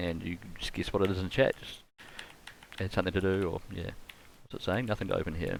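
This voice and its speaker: A man's very deep, low voice in a strong New Zealand accent, very fast, with long, frequent pauses, big swings in loudness and fairly even intonation. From New Zealand, Canterbury (Rangiora). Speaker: game streamer. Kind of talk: live gaming commentary. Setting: live stream with webcam. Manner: casual, thinking aloud.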